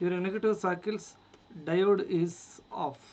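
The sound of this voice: A man speaks at a high pitch with a slightly mellow tone. His intonation is fairly even and his pace fairly slow.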